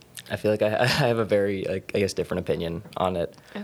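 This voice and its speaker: With a plain, everyday voice, a man speaks at a fairly low pitch and with fairly even intonation. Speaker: student climate activist. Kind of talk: casual discussion.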